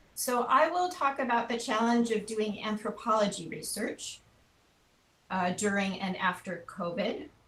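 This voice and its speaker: A woman speaks with an American accent. Her fairly high voice has lively intonation. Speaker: anthropology researcher. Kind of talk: webinar presentation. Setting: video call. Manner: deliberately not too fast.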